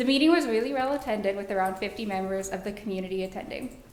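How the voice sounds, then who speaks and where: A woman talks at medium pitch amid noticeable background noise and audible room echo. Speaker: watershed coordinator. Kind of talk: public comment report. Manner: fast.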